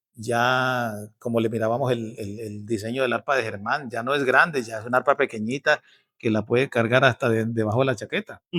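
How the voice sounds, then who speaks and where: This man has a bright, sharp tone at medium pitch, talking at a fairly quick pace with fairly even intonation, and the sound is dry and close with no echo on a very clean recording with a silent background. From Casanare, Colombia. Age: 50s. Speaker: bandola player and music instructor. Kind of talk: interview answer.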